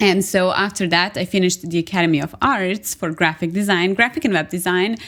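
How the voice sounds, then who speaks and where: The woman has a Serbian accent and a medium pitch. She talks at a moderate pace. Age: 30s. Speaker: agency owner and graphic designer. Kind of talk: podcast interview.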